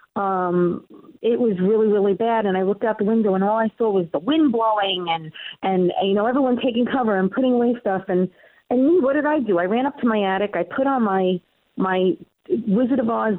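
At a fairly quick pace, a woman with a New York accent speaks at medium pitch with ordinary pitch variation. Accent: Queens New York. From New York, Queens. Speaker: comedian and local TV show host. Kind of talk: casual interview chat.

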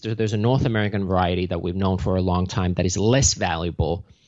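Talking at a very fast pace, a man speaks with a Finnish accent. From Finland. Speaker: mushroom company founder. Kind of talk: interview.

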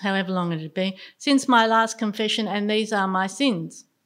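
Here is a woman with an Australian accent. Her pitch sits fairly high. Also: very clean recording, silent background. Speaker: storyteller. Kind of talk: storytelling performance.

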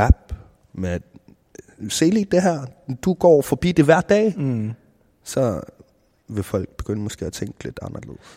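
Fairly slow, with a dark, mellow tone, very wide pitch swings, big swings in loudness and long, frequent pauses, the voice sounds dry and close with no echo on a very clean recording with a silent background. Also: man. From South Greenland, Nanortalik. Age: 20s. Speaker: rapper and video producer. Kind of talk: interview. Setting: cultural center in Nuuk.

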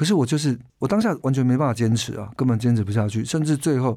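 A man with a medium pitch and a dark, mellow tone speaks at a very fast pace. The recording is very clean, with a silent background. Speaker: singer-songwriter and music producer. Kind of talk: interview.

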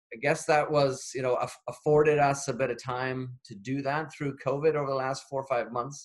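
A man with a western Canadian accent speaks in a fairly high pitch, with monotone, flat intonation, at a moderate pace and with hardly any pauses. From British Columbia, Canada (Chilliwack). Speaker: nonprofit leader. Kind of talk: interview.

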